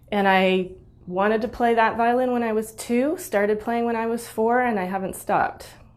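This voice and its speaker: Audible room echo surrounds a woman speaking at a moderate pace with an American accent. Her pitch is fairly high, with ordinary pitch variation. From United States. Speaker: musician and Facebook group host. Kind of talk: personal reflective talk. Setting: online live video.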